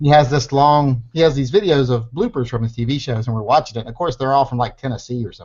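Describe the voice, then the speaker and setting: Talking at a very fast pace with hardly any pauses, a man with an American accent uses a somewhat breathy, medium-pitched voice with ordinary pitch variation and big swings in loudness. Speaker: online show host. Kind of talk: casual chat.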